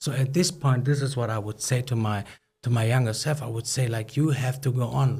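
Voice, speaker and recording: Speaking at a moderate pace with a non-native accent, a man has a dark, mellow tone, a somewhat breathy voice, medium pitch and fairly even intonation. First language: not English. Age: 30s. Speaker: startup founder and CEO. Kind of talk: podcast interview. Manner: halting.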